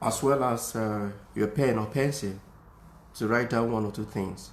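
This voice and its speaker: Speaking with a non-native accent, a man keeps a moderate pace, a medium pitch and fairly even intonation. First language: not English. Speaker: music teacher. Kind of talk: tutorial. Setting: Facebook live video at home. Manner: halting, many fillers.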